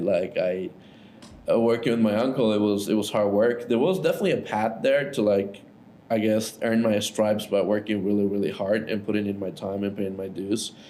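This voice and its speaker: A man with a fairly low pitch speaks at a moderate pace, with audible room echo. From Ecuador. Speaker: entrepreneur. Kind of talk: casual interview. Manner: casual, filler-heavy.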